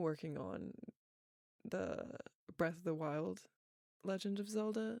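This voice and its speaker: Relaxed delivery in a dark, mellow tone with a slight Southern US accent, a moderate pace and ordinary pitch variation. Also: woman. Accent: slight Southern accent on certain words. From US South. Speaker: voice actor. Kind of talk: casual Q&A chat.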